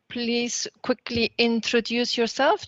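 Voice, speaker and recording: A woman with a Flemish accent speaks at a fairly slow pace, the sound dry and close with no echo. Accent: Flemish Dutch-accented English. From Flanders, Belgium. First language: Dutch. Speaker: trainer. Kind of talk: online training session.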